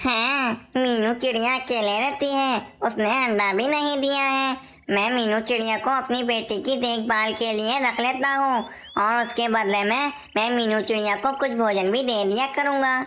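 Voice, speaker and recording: Over clear background noise, a cartoonish character voice that sounds female speaks at a moderate pace in a fairly high pitch. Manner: earnest, concerned.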